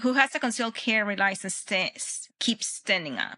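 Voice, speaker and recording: A Spanish accent comes through a dry, close sound with no echo. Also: woman. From Venezuela. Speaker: Olympic shooter and firearms instructor. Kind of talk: podcast interview. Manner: halting with frequent fillers and restarts.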